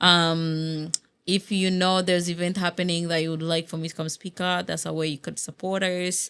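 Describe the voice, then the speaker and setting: A woman speaks at a moderate pace in a flat monotone with a fairly low pitch. The recording is very clean, with a silent background. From Uganda (born in Congo). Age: 20s. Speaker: nonprofit founder. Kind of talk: interview. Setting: studio.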